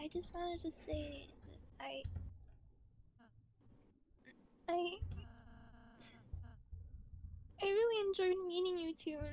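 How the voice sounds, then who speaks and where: A quiet, put-on character voice mumbles at an extremely high pitch. The pace is fairly slow, with long, frequent pauses. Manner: mumbling, hesitant, shy.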